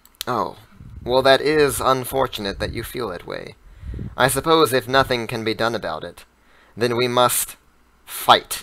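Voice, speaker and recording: A man puts on a character voice at medium pitch and a moderate pace. He leaves long, frequent pauses. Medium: actual play. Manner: haughty, imperious.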